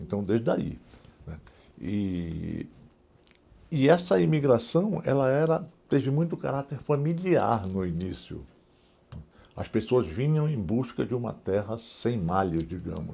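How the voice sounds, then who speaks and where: A man with a medium pitch and a dark, mellow tone speaks at a fairly slow pace with long, frequent pauses. His pitch swings very widely. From northern Brazil, Pará (Alenquer). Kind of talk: oral history interview. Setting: museum interview. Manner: halting, many fillers and repetitions.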